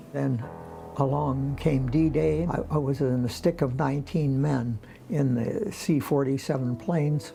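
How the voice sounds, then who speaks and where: A man's voice sits fairly high in pitch. Music runs behind him. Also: ordinary pitch variation, fairly slow pace. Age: 80s+. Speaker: World War II veteran, volunteer. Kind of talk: interview answer.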